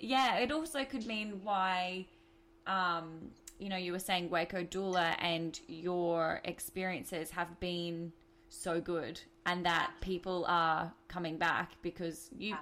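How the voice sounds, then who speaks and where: Speaking at a very slow pace in an Australian accent, a woman with a fairly low pitch and a bright, sharp tone uses ordinary pitch variation on a very clean recording with a silent background. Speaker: podcast host. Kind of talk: casual interview.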